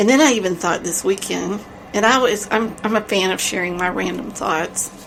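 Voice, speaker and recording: Moderate-paced speech from a woman, medium in pitch, its pitch varying in an ordinary way, set against noticeable background noise. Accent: strong Texas. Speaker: podcast co-host. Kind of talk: casual chat.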